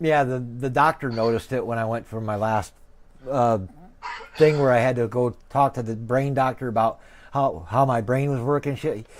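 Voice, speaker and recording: A man talks at a moderate pace with a medium pitch and ordinary pitch variation. Noticeable background noise runs underneath. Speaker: streamer and sim racer. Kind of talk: casual chat. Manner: occasionally stumbles over words.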